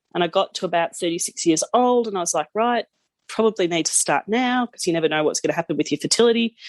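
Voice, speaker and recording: A woman's medium-pitched voice in an Australian accent, at a very fast pace with lively intonation and a dry, close sound with no echo. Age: 30s. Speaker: podcast guest, new mother. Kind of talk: casual interview chat.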